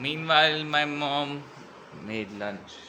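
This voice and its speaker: A man talks with a Haryana accent and ordinary pitch variation. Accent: Haryanvi Indian English. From Haryana, India. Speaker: vlogger. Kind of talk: casual talk to camera.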